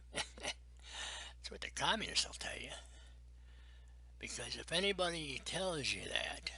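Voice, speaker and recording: Whispering with an American accent, a man speaks at a very slow pace, with big swings in loudness and long, frequent pauses. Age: 70s. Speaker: navy veteran. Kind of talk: interview testimony. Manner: emphatic.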